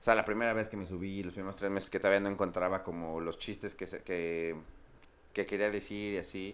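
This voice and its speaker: With a very deep, low pitch, a man speaks at a fairly quick pace in a monotone, flat intonation. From Mexico City. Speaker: stand-up comedian. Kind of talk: casual chat.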